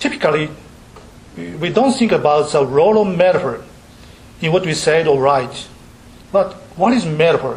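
With a Japanese accent and a fairly high pitch, a man talks at a moderate pace with lively intonation and long, frequent pauses over noticeable background noise. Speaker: university professor giving lecture. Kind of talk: academic lecture. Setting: lecture hall with audience. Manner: halting, many fillers, self-deprecating.

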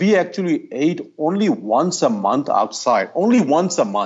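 Vocal fry colors a man's voice, pitched fairly high. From India (Ahmedabad, Gujarat). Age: 50s. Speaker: cardiologist. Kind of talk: casual interview.

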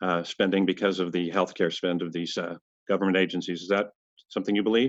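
With a plain, everyday voice, a man talks at a fairly quick pace in fairly even intonation. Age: 60s. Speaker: podcast host and healthcare CEO. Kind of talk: interview.

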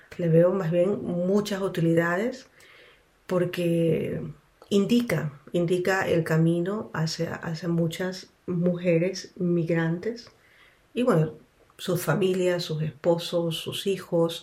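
Very slow speech from a woman at a fairly low pitch, fairly even intonation and audible room echo. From Ecuador, Quito. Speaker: interpreter and counselor. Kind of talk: radio interview.

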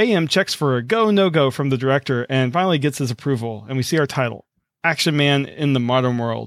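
Very fast and with lively intonation, a man with an American accent speaks at medium pitch. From US South. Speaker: podcast host. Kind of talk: reading aloud; casual chat. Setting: video call.

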